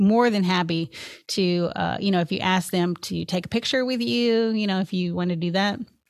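At a moderate pace and with ordinary pitch variation, a speaker with a Tennessee accent is heard on a very clean recording with a silent background. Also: woman. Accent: Southern US (Tennessee). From Memphis, Tennessee (US South). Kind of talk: interview conversation.

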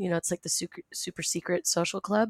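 With an American accent and fairly even intonation, the speaker uses a normal speaking voice in a very clean recording with a silent background and a dry, close sound with no echo. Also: woman. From Rhode Island, US. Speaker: former private zoo worker. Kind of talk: interview.

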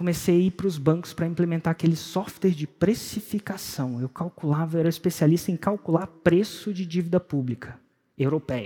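The sound is dry and close with no echo, carrying an animated tone with ordinary pitch variation and hardly any pauses. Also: man. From Brasília, Brazil. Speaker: entrepreneur and personal development coach. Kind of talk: motivational talk.

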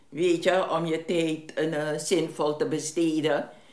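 Woman with a very deep, low pitch and fairly even intonation, audible room echo. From Suriname. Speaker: neighbourhood resident. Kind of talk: interview.

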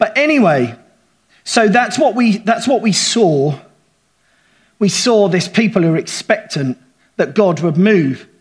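A high-pitched man with a southern English accent at a moderate pace. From England. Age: 40s. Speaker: pastor. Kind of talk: sermon. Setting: church.

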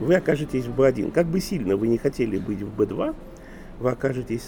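An ordinary speaking voice, this man's sits at a medium pitch and moves at a fairly quick pace. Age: 50s. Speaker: author and management consultant. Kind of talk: interview.

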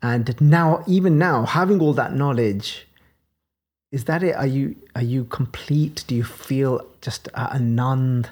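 A woman's very deep, low voice with a Birmingham accent, fairly slow in pace with ordinary pitch variation. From Birmingham, England. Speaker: podcast host explaining scripture. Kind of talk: religious teaching discussion.

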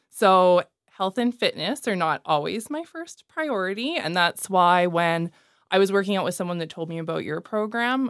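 A woman's normal speaking voice at a medium pitch, with lively intonation, a moderate pace and a dry, close sound with no echo. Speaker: mortgage specialist, client.

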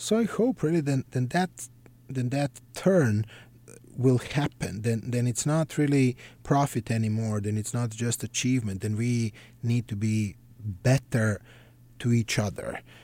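In a very clean recording with a silent background and a dry, close sound with no echo, a man with a Serbian accent speaks fairly slowly at a medium pitch, his tone dark and mellow and his pitch variation ordinary. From Serbia (Belgrade). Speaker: psychiatrist. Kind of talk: interview.

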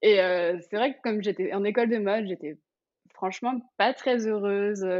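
A woman's fairly high voice moves at a moderate speed, its pitch varying in an ordinary way. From Paris region, France. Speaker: fashion influencer. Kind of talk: casual interview. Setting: remote recording.

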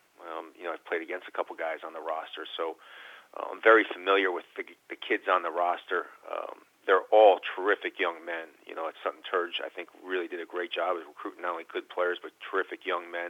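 At a fairly quick pace, a man talks with big swings in loudness. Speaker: college basketball coach. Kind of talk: radio interview. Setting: phone call.

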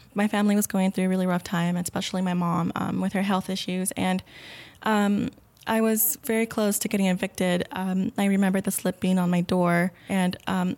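An ordinary speaking voice belongs to a woman with an American accent, medium in pitch and fairly quick in pace. Her intonation is fairly even, her loudness very even, and the recording very clean with a silent background. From Rio Grande Valley, South Texas. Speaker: medical center employee, scholarship alumna. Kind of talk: interview conversation.

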